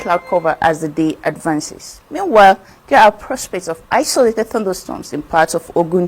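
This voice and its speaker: Medium-pitched woman's voice at a moderate pace, music playing in the background. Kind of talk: TV weather forecast.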